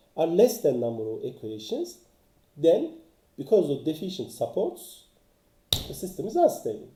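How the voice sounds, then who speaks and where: A man at a moderate pace, with audible room echo. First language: not English. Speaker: engineering author and teacher. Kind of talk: lecture. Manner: halting, many fillers.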